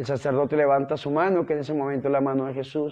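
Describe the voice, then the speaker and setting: Man speaking, quiet background. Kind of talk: sermon. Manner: earnest, fervent preaching; direct, exhortative address. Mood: devout, fervent.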